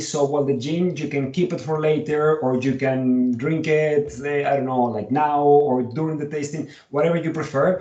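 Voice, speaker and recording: A man with a Colombian accent, fairly high in pitch, at a moderate pace and with fairly even intonation. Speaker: whisky educator and tour business owner. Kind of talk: online tasting presentation. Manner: hesitant, many fillers.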